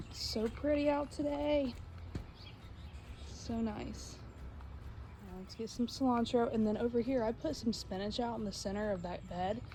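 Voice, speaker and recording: The speech keeps a moderate pace but has long, frequent pauses. Audible room echo surrounds it. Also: woman. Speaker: home cooking vlogger. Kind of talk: casual vlog talk. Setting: outdoors in garden. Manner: halting; quiet.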